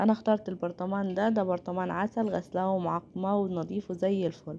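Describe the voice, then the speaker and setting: Her dark, mellow tone at a medium pitch carries fairly even intonation as this woman speaks at a moderate pace. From Upper Egypt. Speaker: cooking channel host. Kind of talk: cooking tutorial.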